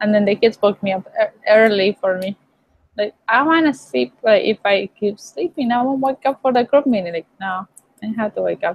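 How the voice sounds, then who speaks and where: With a Mexican accent, a woman talks at a moderate pace. Her pitch is fairly high and her intonation lively. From Mexico. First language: Spanish. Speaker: online student. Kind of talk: casual chat.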